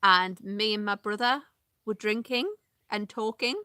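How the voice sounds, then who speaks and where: At a fairly slow pace, a woman with a Northeast English accent speaks at a fairly high pitch in a dry, close sound with no echo. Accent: Northeast English, regional. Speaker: vlogger. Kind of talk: casual live vlog chat. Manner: hesitant, many fillers.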